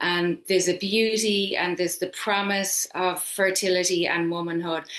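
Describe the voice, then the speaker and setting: A woman with an Irish accent speaks at a fairly slow pace, her medium-pitched voice in a monotone, flat intonation. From Ireland. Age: 50s. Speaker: yoga teacher. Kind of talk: casual chat.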